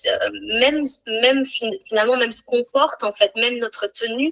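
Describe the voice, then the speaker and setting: The woman's voice is fairly high with a bright, sharp tone. The sound is dry and close, with no echo. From Portugal. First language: Portuguese (speaking French). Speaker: speaker and coach. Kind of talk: casual live interview. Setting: Instagram live. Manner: fluent, with hesitations.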